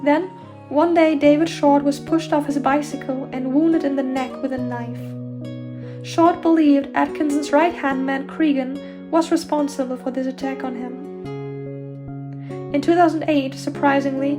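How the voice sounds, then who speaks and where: The speaker has a German accent and talks at a fairly slow pace. Music plays in the background. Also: woman. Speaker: true crime narrator. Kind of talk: true crime narration.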